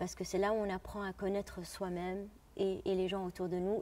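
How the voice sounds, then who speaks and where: A woman's voice at medium pitch and a moderate pace. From Jordan. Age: 30s. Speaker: opera singer. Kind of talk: interview. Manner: halting.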